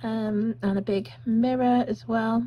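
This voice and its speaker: Faint background noise is audible. The speaker is a woman. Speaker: vlogger on honeymoon. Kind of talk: casual vlog room tour. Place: home room. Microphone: phone near.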